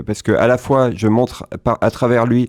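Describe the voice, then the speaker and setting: The sound is dry and close with no echo as a man speaks with fairly even intonation. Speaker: film director. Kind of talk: interview. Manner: fast; halting.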